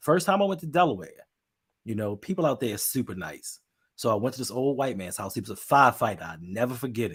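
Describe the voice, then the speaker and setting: Very fast and somewhat breathy, a man at medium pitch speaks with very wide pitch swings and big swings in loudness on a very clean recording with a silent background. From Baltimore, Maryland. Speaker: podcast co-host. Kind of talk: casual chat.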